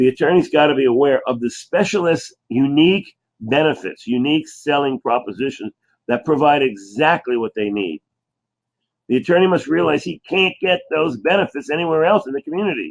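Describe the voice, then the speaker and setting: This man's voice is fairly high. He talks at a fairly quick pace with lively intonation. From New Jersey, US. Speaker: chiropractor. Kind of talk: sales pitch presentation.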